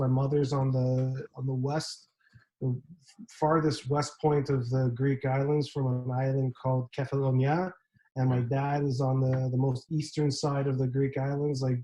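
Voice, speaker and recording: This man has a dark, mellow tone and a somewhat breathy voice at medium pitch. He speaks at a fairly slow pace in a monotone, flat intonation. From Canada. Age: 30s. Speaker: graphic designer. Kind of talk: casual chat.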